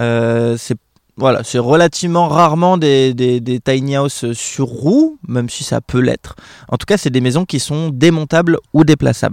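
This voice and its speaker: A man's fairly high voice at a fairly slow pace, with ordinary pitch variation, the sound dry and close with no echo on a very clean recording with a silent background. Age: 30s. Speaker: association coordinator. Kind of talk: interview. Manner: halting, many hesitations.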